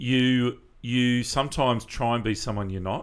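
In an Australian accent, a man talks with ordinary pitch variation. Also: very clean recording, silent background. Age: 40s. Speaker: charity event organiser. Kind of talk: casual interview.

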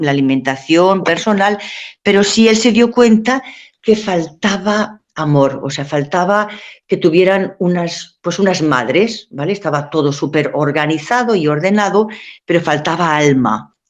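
In a fairly low voice with lively intonation, a woman speaks at a fairly slow pace. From Spain, Valencia. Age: 60s. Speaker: nun, convent superior. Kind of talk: radio talk show interview. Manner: halting, many fillers and repetitions.

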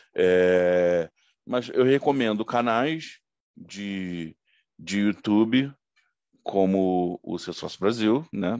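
Over a quiet background, a man with a fairly low pitch and ordinary pitch variation speaks at a very slow pace with long, frequent pauses, the sound dry and close with no echo. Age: 40s. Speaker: IT consultant, former sales manager. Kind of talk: interview.

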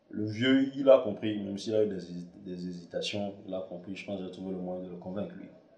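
A man is speaking. The room echo is audible. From Togo, Lomé. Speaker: filmmaker and podcaster. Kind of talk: casual monologue. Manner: halting, many fillers.

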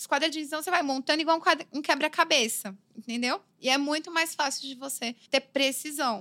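In a raised, projected voice, a woman talks at a fairly quick pace with hardly any pauses, using a high, bright, sharp tone with ordinary pitch variation and big swings in loudness, in a dry, close sound with no echo. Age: 30s. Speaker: graffiti artist and illustrator. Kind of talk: casual interview. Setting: studio.

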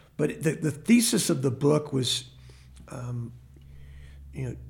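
A man is speaking. He has a Texan accent. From Texas (grew up in Temple). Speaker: mayor. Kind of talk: interview. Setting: studio. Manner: halting.

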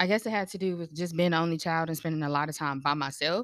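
This woman has an unremarkable speaking voice, fairly low, with an American accent and lively intonation. The recording is very clean with a silent background. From North Carolina. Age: 20s. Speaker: creative. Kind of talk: casual chat.

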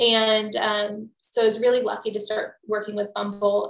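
A woman speaks at a moderate pace with an American accent and a fairly high pitch. Hers is an unremarkable speaking voice. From Texas. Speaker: business coach and entrepreneur. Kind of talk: casual interview chat. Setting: office.

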